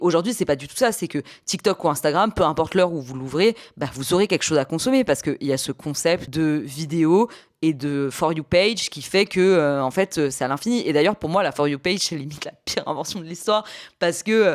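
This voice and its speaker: A woman talks at a fairly quick pace in a fairly low, plain, everyday voice. Her intonation is lively, and the recording is very clean with a silent background. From Paris, France. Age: 30s. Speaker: YouTuber, podcaster. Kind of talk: casual video podcast commentary.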